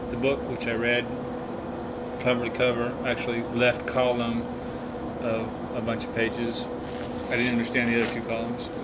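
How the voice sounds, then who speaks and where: A man speaks at a moderate pace with long, frequent pauses over loud background noise. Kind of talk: casual tutorial. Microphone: camera far.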